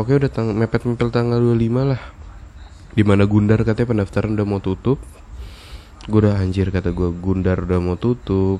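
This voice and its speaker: Fairly quick speech from a man with a dark, mellow tone, fairly low pitch and ordinary pitch variation. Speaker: podcast host. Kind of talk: casual monologue, storytelling.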